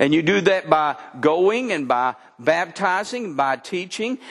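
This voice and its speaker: Against noticeable background noise, a man with a high pitch talks at a very slow pace. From Texas. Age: 60s. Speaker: pastor. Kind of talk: sermon. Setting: church.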